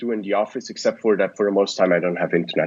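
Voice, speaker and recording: This man talks with a Swiss German accent. His pitch is fairly low and his pace is very fast. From Switzerland. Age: 20s. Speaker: startup founder and investor. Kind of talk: podcast interview.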